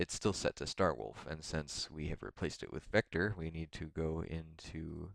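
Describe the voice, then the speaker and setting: A man with a very deep, low voice and vocal fry talks at a moderate pace with ordinary pitch variation, recorded dry and close with no echo. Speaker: modding tutorial youtuber. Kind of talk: tutorial. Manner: hesitant, many fillers. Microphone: mic very close to mouth, poor quality.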